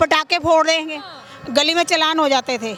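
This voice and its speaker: Over noticeable background noise, a woman's raised, projected voice sits at an extremely high pitch with fairly even intonation. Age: 60s. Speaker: vox pop interviewee. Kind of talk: street interview.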